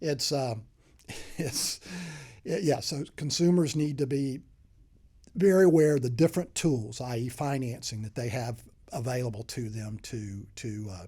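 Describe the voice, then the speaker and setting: Speaking at a medium pitch with a slight Southern accent, a man has a dark, mellow, somewhat breathy tone, lively intonation, big swings in loudness, and long, frequent pauses. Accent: slight southern drawl. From US South, Mobile, Alabama. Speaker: HVAC sales consultant. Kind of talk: podcast interview. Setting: studio. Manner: halting, many repeated words.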